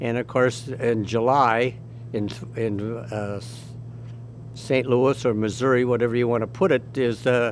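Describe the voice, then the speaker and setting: Speaking with an American accent, a man at a medium pitch talks at a fairly slow pace in a monotone, flat intonation, with long, frequent pauses. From US Midwest, Elmhurst, Illinois. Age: 90s. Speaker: war veteran. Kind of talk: oral history interview. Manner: halting, with many restarts.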